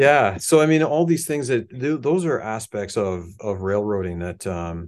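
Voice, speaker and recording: Here a man speaks in a Canadian accent with very wide pitch swings. The background is quiet. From Canada, Hamilton, Ontario. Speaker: musician and model builder. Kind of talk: casual chat.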